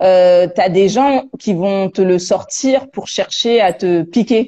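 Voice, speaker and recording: Her tone dark and mellow, a woman speaks at a very slow pace with ordinary pitch variation. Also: medium pitch for a woman. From France. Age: 30s. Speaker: interviewee, expatriate. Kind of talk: casual interview. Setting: Instagram live. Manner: hesitant, many fillers and repetitions.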